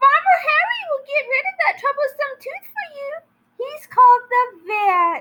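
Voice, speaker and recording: The speech comes in a put-on character voice, delivered at a moderate pace. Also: female-sounding voice, extremely high pitch for a woman. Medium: read story.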